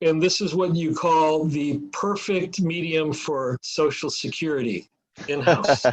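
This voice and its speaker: This man's voice sits fairly high, with ordinary pitch variation and a very slow pace. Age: 70s. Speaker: mold inspection business owner. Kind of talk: interview.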